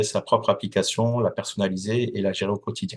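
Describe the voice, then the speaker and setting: Speech moves at a moderate pace against a quiet background. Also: man. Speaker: company founder and association president. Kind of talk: interview. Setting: podcast. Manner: hesitant, many fillers.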